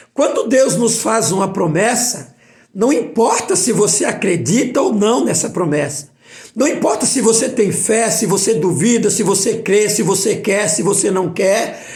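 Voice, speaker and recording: A man's high-pitched voice at a fairly slow pace with lively intonation and very even loudness, amid noticeable background noise and audible room echo. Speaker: preacher. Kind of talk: bible study sermon.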